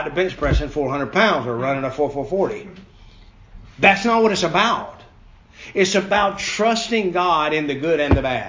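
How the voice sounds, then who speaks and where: With audible room echo, a man speaks at a high pitch with lively intonation. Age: 50s. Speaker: lay preacher at a Bible study. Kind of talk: sermon.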